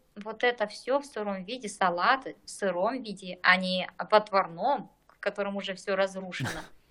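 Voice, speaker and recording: With a bright, sharp tone, a woman of medium pitch speaks at a moderate pace with ordinary pitch variation. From eastern Kazakhstan, rural village. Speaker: general practitioner, doctor. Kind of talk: podcast interview.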